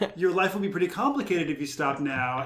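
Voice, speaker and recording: Very fast male speech amid noticeable background noise and audible room echo. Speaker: podcast co-host. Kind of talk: casual chat. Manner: loud. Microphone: far from the mic.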